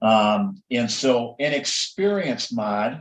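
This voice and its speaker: A man speaks with a Minnesotan accent. His intonation is lively. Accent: Minnesota. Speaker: insurance agent. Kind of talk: explanatory interview.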